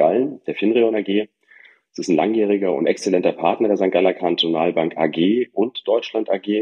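This man keeps a moderate pace and shows ordinary pitch variation as he talks. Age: 40s. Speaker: bank sales executive. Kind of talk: corporate podcast interview.

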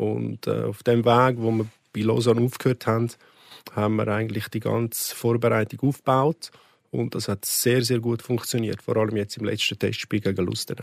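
Monotone, flat intonation in a dry, close sound with no echo. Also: man, medium pitch for a man, moderate pace, very clean recording, silent background. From Switzerland, canton Aargau (Neuenhof near Baden). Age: 40s. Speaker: football coach. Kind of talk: podcast interview. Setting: studio.

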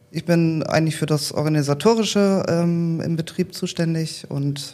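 Very deep and low in pitch, a woman's voice carries a dark, mellow tone with ordinary pitch variation. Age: 30s. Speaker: training academy manager. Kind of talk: casual interview.

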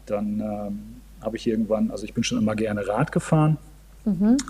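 This man talks with ordinary pitch variation. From northern Germany. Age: 40s. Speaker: amateur triathlete. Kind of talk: casual chat. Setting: video call. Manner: halting.

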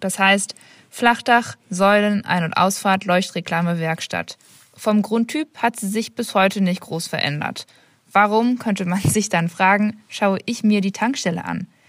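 At a fairly slow pace, a woman talks in a normal speaking voice at medium pitch with ordinary pitch variation. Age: 20s. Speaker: master's student. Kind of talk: voice message, prepared explanation.

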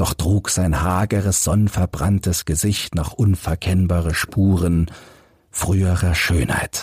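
Slow and low-pitched, a man speaks with a husky, rough edge, a slightly mellow tone and ordinary pitch variation.

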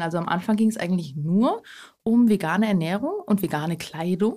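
Recorded very cleanly against a silent background, a woman speaks at a fairly quick pace. Her medium-pitched voice has a dark, mellow tone and is somewhat breathy. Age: 20s. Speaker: eco blogger and cookbook author. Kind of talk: casual interview chat.

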